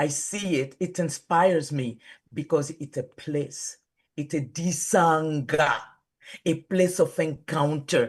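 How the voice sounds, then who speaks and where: Against a quiet background, a woman with a very deep, low pitch talks at a very slow pace, sounding somewhat breathy. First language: Kisanga. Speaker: pastor. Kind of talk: casual chat. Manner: animated.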